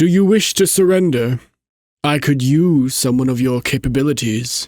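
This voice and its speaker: A man in a put-on character voice, medium pitch, moderate pace. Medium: virtual streamer. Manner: arrogant, dismissive.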